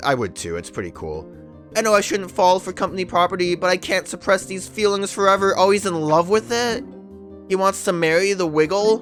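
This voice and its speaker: The speaker's pitch varies in an ordinary way while music plays behind the voice. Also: man, high pitch for a man. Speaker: let's play gamer. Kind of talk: casual gameplay commentary.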